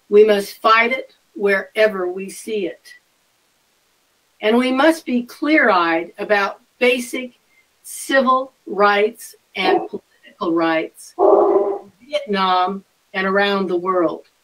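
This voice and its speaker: Her pace is very slow. The woman speaks at a medium pitch with lively intonation. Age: 70s. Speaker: politician. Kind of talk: speech. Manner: formal.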